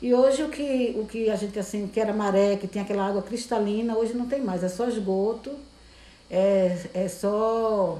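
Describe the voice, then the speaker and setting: A woman speaks in a Pernambuco accent at medium pitch and a moderate pace, her intonation fairly even, with audible room echo. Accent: Pernambuco Brazilian Portuguese. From Brazil, Recife (Pernambuco). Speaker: seamstress. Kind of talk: interview. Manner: halting.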